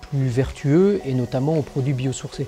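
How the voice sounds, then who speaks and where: Music plays in the background. A man speaks at a moderate pace with a fairly high pitch. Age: 40s. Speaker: company director. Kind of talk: interview portrait. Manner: hesitant, frequent fillers.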